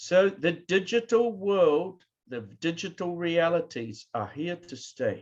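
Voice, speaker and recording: Speaking very slowly in a New Zealand accent, a man with a high pitch uses lively intonation and big swings in loudness. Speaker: professor. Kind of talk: keynote lecture. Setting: online video presentation. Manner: conversational.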